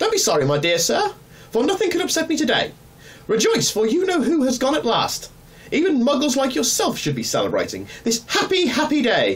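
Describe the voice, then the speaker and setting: A squeaky, put-on character voice at a high pitch moves at a fairly quick pace over light background noise. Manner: joyful, exuberant.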